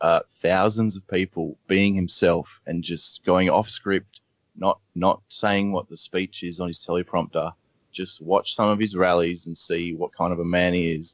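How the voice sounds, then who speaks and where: In an Australian accent, a man speaks at a very deep, low pitch and a fairly slow pace, his intonation monotone and flat. The sound is dry and close with no echo, over a quiet background. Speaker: blogger and media analyst. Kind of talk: radio interview.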